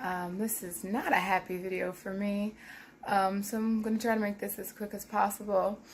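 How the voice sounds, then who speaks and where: Speaking in an American accent at a moderate pace, the voice stays monotone with flat intonation over noticeable background noise. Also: woman, medium pitch for a woman. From Philadelphia. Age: 30s. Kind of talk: casual vlog talk to camera.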